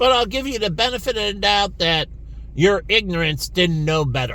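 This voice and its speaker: Speaking at a moderate pace, a man with a high voice uses lively intonation and a bright, sharp tone. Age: 50s. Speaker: vlogger. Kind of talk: personal monologue.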